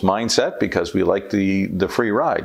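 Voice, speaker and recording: Through noticeable background noise, a man of fairly low pitch speaks with an American accent at a moderate pace. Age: 60s. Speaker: economist. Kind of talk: scripted monologue on economics. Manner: measured, explanatory.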